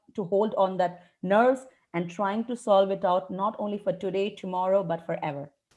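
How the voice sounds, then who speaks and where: A woman with an Indian accent speaks at a medium pitch in a dark, mellow tone. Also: quiet background. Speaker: English educator. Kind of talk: webinar interview. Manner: fast.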